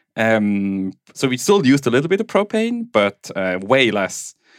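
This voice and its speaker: A man with a Swiss German accent talks at medium pitch. The sound is dry and close with no echo, on a very clean recording with a silent background. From Switzerland (German-speaking). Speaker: tech executive and home bitcoin miner. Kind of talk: casual interview chat. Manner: laughs often.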